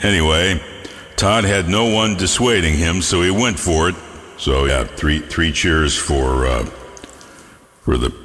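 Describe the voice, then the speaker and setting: Over music in the background, a man with a very deep, low pitch speaks at a fairly slow pace with lively intonation, very even loudness and long, frequent pauses. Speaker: internet radio host. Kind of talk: radio DJ patter. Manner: casual, jokey.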